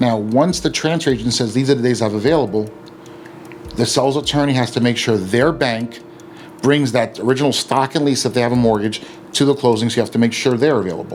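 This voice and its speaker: Over noticeable background noise, a man talks at a very fast pace. His pitch is medium, with ordinary variation. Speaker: real estate attorney. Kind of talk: educational explainer video. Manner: casual with many fillers.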